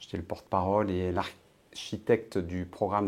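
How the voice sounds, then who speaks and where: A man's very deep, low voice at a fairly quick pace with fairly even intonation, in a very clean recording with a silent background. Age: 50s. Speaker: political essayist and blogger. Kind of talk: interview. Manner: hesitant with frequent fillers.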